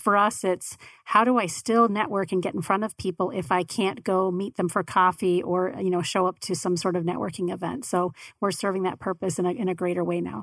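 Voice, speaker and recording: In a very clean, dry, close recording with no echo and a silent background, a woman with an American accent talks at a fairly quick pace, with ordinary pitch variation, in an ordinary speaking voice. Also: medium pitch for a woman. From Arizona, Tempe. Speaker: podcast network owner. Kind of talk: casual interview.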